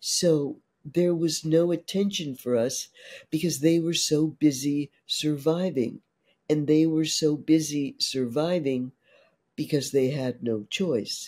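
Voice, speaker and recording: A woman's very deep, low voice with an American accent, dark and mellow in tone, very slow, with ordinary pitch variation. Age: 60s. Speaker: trauma therapist. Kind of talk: interview.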